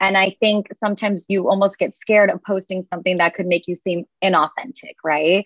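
A woman speaks at a medium pitch with a normal speaking voice. Her intonation is fairly even and her pace fairly quick. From United States, Indian-American family. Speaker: content creator. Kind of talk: casual chat.

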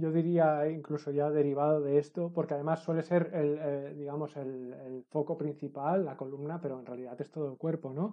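With a fairly high pitch, a man talks in a monotone, flat intonation at a moderate pace, his loudness swinging widely and hardly any pauses between words. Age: 40s. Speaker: fitness and movement educator. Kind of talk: casual interview chat.

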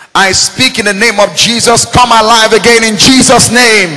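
A man speaks in a raised, projected voice at a high pitch and moderate pace, with an animated tone. Noticeable background noise runs underneath. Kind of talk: sermon. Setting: church with a congregation. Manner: rhetorical call-and-response, asking 'Are we together?'.

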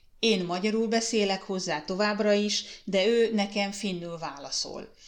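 Her pace fairly slow, a woman talks with fairly even intonation. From Hungary. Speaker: podcast host, mother. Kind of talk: personal storytelling monologue. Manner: hesitant with fillers.

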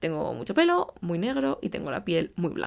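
Recorded very cleanly with a silent background, a woman's voice shows very wide pitch swings and vocal fry. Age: 20s. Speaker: podcast host, translator. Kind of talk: solo monologue, casual advice talk. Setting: home recording in bedroom.

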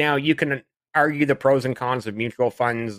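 A man with a Canadian accent has a bright, sharp tone and fairly even intonation, captured in a dry, close sound with no echo. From Canada. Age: 40s. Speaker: dividend investor and podcaster. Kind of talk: podcast interview.

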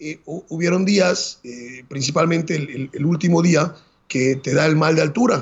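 This man has an ordinary speaking voice with a fairly high pitch and ordinary pitch variation. He talks at a fairly slow pace. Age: 40s. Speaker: marathon runner and Everest climber. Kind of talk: interview storytelling.

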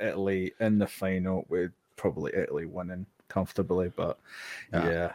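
A fairly quick man's voice with a Scottish accent, dry and close with no echo, on a very clean recording with a silent background. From Scotland. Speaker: podcast co-host. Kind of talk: casual chat.

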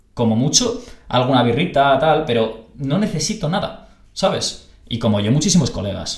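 Audible room echo surrounds this man's fairly high voice. He speaks at a moderate pace with very wide pitch swings. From Spain, Barcelona. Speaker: podcast host. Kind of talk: casual interview chat. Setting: video call.

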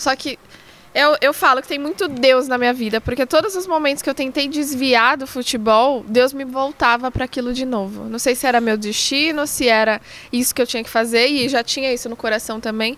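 Over noticeable background noise, a woman with a high pitch speaks at a fairly quick pace with ordinary pitch variation. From Brazil, São Paulo. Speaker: football freestyler and content creator. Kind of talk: casual chat.

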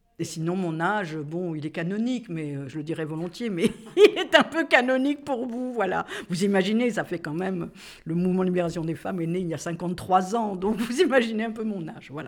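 In a plain, everyday voice, a woman talks fairly quickly at medium pitch, her intonation lively and her loudness swinging widely. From Corsica. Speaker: feminist activist, publisher. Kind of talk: casual conversation / interview.

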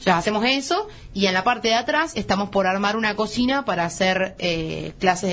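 Somewhat breathy, a woman at medium pitch speaks with lively intonation. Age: 20s. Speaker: chef and restaurant owner. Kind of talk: radio interview.

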